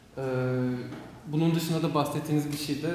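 A man talking at a very fast pace, with audible room echo and light background noise. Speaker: student moderator. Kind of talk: event introduction and interview questions. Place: hall. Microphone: podium.

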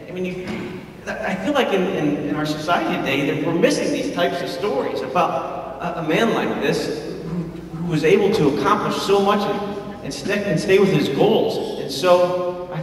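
Light background noise and audible room echo surround a man speaking with a high pitch. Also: ordinary pitch variation, moderate pace. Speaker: film producer. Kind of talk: announcement presentation to an audience. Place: hall.

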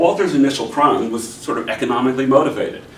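A man speaks at a fairly quick pace in an American accent. Light background noise and audible room echo are present. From US, Pittsburgh (Hill District); Pittsburgh. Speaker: professor. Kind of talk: lecture. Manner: halting, many fillers. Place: meeting room. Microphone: camera far.

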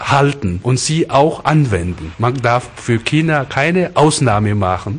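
A man talks at a very slow pace, his pitch medium and his intonation lively. Noticeable background noise runs behind him. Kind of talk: interview answer. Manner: hesitant, halting.

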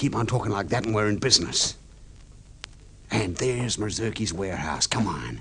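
A man's put-on character voice, fairly low in pitch with vocal fry, a bright, sharp tone and lively intonation, at a moderate pace over faint background noise

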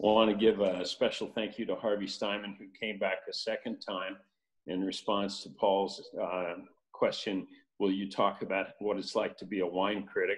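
With a quiet background, the talking goes at a moderate speed. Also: man. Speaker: presenter. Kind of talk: presentation with thanks. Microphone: video call.

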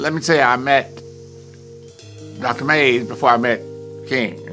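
Clear music plays in the background. A man speaks with lively intonation. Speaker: reverend. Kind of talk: interview answer, reminiscence. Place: studio.

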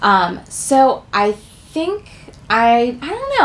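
Over light background noise, a woman's pitch swings very widely. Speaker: toy collector channel host. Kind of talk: casual vlog chat. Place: home room. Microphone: camera far.

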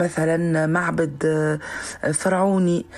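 A woman speaks at a fairly low pitch with monotone, flat intonation. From southern Tunisia. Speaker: singer; guest. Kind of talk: recorded interview clip. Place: studio. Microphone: studio mic.

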